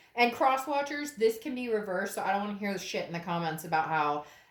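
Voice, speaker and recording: A woman's medium-pitched voice at a fairly quick pace, with audible room echo. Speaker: tarot reader. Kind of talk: tarot reading monologue. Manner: fast; animated.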